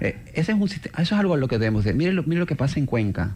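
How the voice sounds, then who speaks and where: Somewhat breathy and dark, mellow in tone, a man's voice swings very widely in pitch. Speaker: urban mobility expert. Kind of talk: radio interview.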